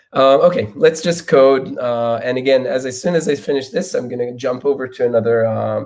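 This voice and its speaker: A man with a non-native accent, medium in pitch, at a fairly quick pace and with ordinary pitch variation. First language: not English. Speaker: software engineer giving keynote. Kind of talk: conference talk with live coding demo. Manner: halting, many fillers and repetitions.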